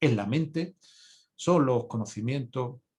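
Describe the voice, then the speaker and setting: Somewhat breathy and medium in pitch, a man's voice moves at a fairly slow pace. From Spain, not Andalusia. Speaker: physician and conference speaker. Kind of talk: conference lecture. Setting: congress talk. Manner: halting, many fillers and repetitions.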